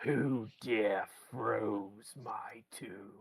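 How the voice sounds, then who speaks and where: This is a put-on character voice with a low pitch. It has a growling quality. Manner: angry, indignant.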